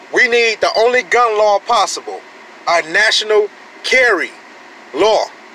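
Using a raised, projected voice, a man with an American accent speaks with ordinary pitch variation. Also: long, frequent pauses, very even loudness. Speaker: gun-rights vlogger. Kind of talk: angry rant, fired-up gun-rights sermon. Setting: solo home video, talking to camera. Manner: loud, indignant, emphatic; fast, preachy, repeating points for emphasis. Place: car. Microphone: phone near.

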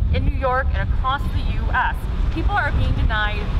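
Moderate pace, loud background noise. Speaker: civil liberties activist. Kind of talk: rally speech. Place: street.

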